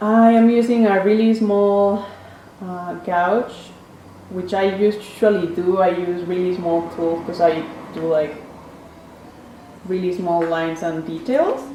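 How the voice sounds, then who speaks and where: At a very slow pace with long, frequent pauses, a woman with a Spanish accent speaks at a medium pitch with ordinary pitch variation. Audible room echo and noticeable background noise surround her. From Mexico City. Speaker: printmaker artist. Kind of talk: casual artist talk. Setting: print studio.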